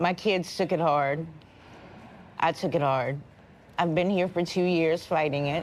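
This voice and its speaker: A woman with an American accent speaks at a fairly slow pace, leaving long, frequent pauses. Her loudness stays very even and her intonation fairly even. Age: 40s. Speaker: jail inmate. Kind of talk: documentary interview. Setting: in jail.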